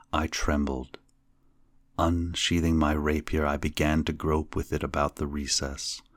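The voice is monotone, with flat intonation at a fairly slow pace, heard in a very clean recording with a silent background. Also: man. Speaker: podcast host and narrator of classic horror fiction. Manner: slow, measured and ominous, lingering over each completed tier; hushed, creeping suspense as the low laugh rises.

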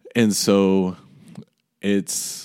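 With a dark, mellow tone and a fairly low pitch, a man with an American accent speaks in a very clean recording with a silent background. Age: 20s. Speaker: podcast host. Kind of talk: casual monologue. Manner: casual, rambling.

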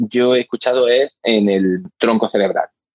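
Recorded dry and close with no echo, a man speaks at a fairly slow pace in a medium pitch. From Spain, Granada. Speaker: hearing scientist. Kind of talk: interview. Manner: hesitant, with fillers and repeated words.

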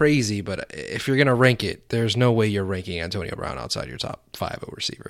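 With a normal speaking voice, a man talks at a fairly quick pace and medium pitch with lively intonation, in a very clean recording with a silent background. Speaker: fantasy football podcast host. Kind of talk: casual chat.

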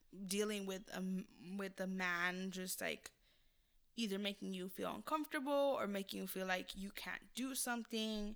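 A woman speaks at a medium pitch and a moderate pace. Hers is an unremarkable speaking voice with ordinary pitch variation. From California. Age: 20s. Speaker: podcast co-host. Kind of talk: casual chat.

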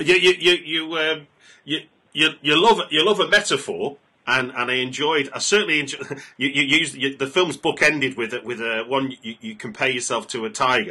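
With a British accent, a man speaks at a moderate pace in a bright, sharp tone, fairly high in pitch, with lively intonation. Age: 40s. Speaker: film podcast host. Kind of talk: interview. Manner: halting.

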